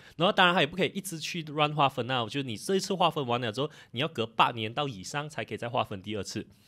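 Against a quiet background, a man speaks very fast with hardly any pauses, his fairly high voice bright and sharp, with lively intonation. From Malaysia. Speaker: political commentary YouTuber. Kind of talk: casual chat. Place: studio. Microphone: studio mic.

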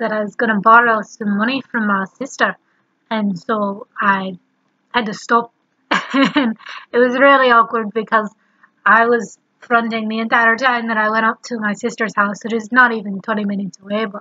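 A woman with a fairly high pitch speaks at a moderate pace in a bright, sharp tone, her intonation monotone and flat, with long, frequent pauses against a quiet background. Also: dry sound with no echo. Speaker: vlogger. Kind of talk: casual vlog talk to camera. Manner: runs words together. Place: home room. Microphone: webcam.

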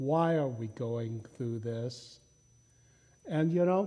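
A man with a dark, mellow tone at a fairly slow pace. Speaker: pastor. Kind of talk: sermon. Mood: humorous storytelling. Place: church. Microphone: lapel.

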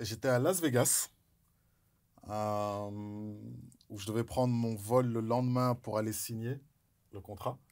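Over a quiet background, a man talks very slowly with long, frequent pauses and big swings in loudness. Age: 40s. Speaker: former pro basketball player and NBA analyst; guest. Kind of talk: casual chat; interview answer, storytelling. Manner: animated. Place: studio.

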